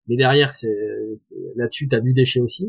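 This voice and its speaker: A man at medium pitch and moderate pace. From southwest France. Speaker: tech startup founder and CEO. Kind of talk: interview. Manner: halting, many fillers and repetitions.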